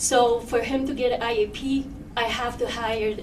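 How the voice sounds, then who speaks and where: A woman speaks at a high pitch with fairly even intonation. Noticeable background noise and audible room echo surround her voice. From Poland. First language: Polish. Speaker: parent speaking at public comment. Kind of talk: public comment at board meeting. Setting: public meeting with microphone. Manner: halting.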